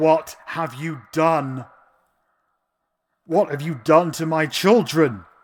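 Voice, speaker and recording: In a put-on character voice, a man talks at a very slow pace with long, frequent pauses and a fairly high pitch. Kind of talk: dramatic, acted. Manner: angry, accusing.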